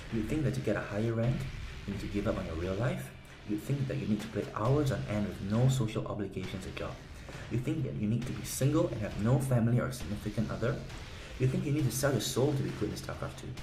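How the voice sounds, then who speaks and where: Music plays behind a man who speaks at a very fast pace in a medium-pitched voice. His intonation is lively, and the room echo is audible. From South Korea. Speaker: game strategy guide seller. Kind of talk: sales pitch.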